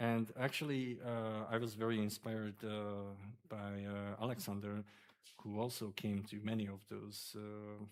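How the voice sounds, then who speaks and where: The speaker goes at a fairly slow pace with a monotone, flat intonation. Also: man, fairly low pitch for a man. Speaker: doctoral candidate. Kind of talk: thesis defence discussion. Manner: hesitant, many fillers.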